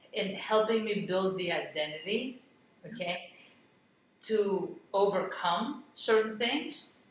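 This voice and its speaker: Heard with audible room echo, a woman in a Greek accent speaks very slowly at medium pitch with ordinary pitch variation. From Greece, moved to US at eleven. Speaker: real estate investor and business coach. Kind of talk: interview.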